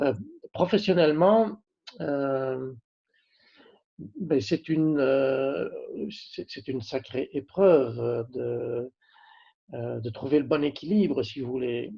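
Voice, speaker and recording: Pausing long and often, a man speaks at a very slow pace with lively intonation. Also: fairly high pitch for a man. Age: 60s. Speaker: company CEO. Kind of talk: interview. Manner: halting, many hesitations.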